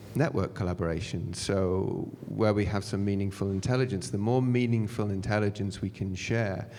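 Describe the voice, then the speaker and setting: In a British accent, a man speaks at a fairly low pitch and moderate pace with fairly even intonation. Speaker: fintech panelist. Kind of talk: panel discussion. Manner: halting, many fillers and restarts.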